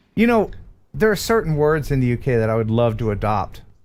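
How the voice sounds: Speaking at a fairly quick pace, a man with an American accent uses an ordinary speaking voice with medium pitch and ordinary pitch variation.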